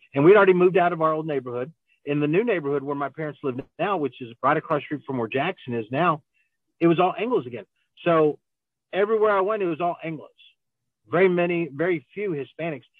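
A man talks at a very fast pace, fairly high in pitch, with ordinary pitch variation. He leaves long, frequent pauses. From Grand Prairie, Texas. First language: Spanish. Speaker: city council member and business owner. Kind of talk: casual interview. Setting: phone call from a car. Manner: halting, many fillers and restarts.

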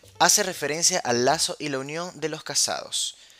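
The tone is animated and playful, at a moderate pace. Music plays in the background. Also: man. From Venezuela, Caracas. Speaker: wine podcast host. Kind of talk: casual solo podcast. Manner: animated, playful.

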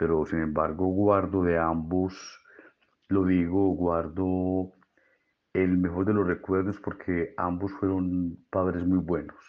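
Speaking very slowly in a very deep, low pitch, a man keeps a monotone, flat intonation and very even loudness. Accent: Antioquian. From Colombia, Medellín (Antioquia). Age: 60s. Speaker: physician. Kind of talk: interview monologue.

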